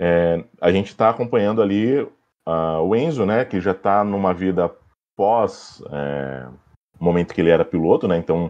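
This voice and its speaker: His pitch very deep and low, a man talks at a moderate pace with ordinary pitch variation. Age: 30s. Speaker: film commentator, journalism graduate. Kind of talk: casual podcast chat. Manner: halting, many fillers.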